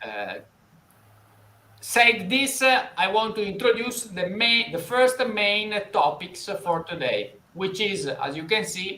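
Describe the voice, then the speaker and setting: Speaking very slowly in an Italian accent, a man uses a raised, projected voice that is high in pitch and has ordinary pitch variation. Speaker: financial interviewer. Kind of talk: live interview. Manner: halting, many fillers.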